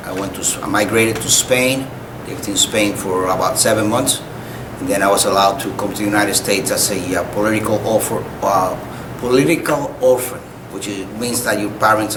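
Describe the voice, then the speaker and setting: A man with a Spanish accent speaks at a fairly quick pace in a fairly low pitch, his intonation fairly even, with noticeable background noise and audible room echo. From Cuba. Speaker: retired army officer, war veteran. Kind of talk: oral history interview. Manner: halting, frequent uh fillers; polite, formal.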